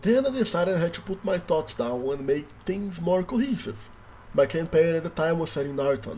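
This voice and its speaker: A man with a Brazilian accent speaks at a high pitch in a dark, mellow tone with lively intonation. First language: Brazilian Portuguese. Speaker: worldbuilding YouTuber. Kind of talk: scripted narration.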